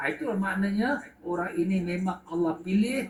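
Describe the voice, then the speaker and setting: A man speaks in a high pitch with ordinary pitch variation. His pace is fairly slow. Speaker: religious teacher. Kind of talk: religious lecture. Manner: animated.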